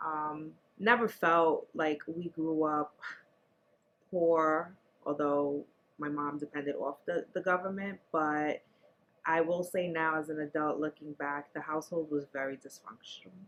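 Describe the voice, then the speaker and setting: A woman with a very deep, low voice and a New York accent, at a fairly slow pace with fairly even intonation. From New York City, the Bronx. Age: 40s. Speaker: interviewee sharing life story. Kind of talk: interview.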